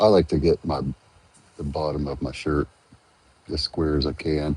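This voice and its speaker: Over noticeable background noise, a soft-spoken man talks at a fairly slow pace in a very deep, low voice with fairly even intonation. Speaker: tie dye crafter. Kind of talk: tutorial. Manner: halting. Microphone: wearing headphones, talks quietly.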